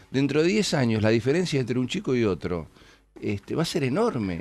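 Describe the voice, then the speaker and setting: At a fairly quick pace, a man talks at a medium pitch with very wide pitch swings. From Argentina. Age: 50s. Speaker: city finance minister and politician; city finance minister, politician. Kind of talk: radio interview. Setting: radio studio. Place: studio.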